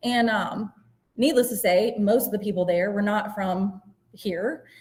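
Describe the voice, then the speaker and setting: Somewhat breathy and fairly slow, a woman talks at a medium pitch in a rural Appalachian Virginia accent, her pitch varying in an ordinary way. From southwest Virginia (Giles County). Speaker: special education teacher and neuroeducation coach. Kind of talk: educational presentation. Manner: casual, uses fillers like um.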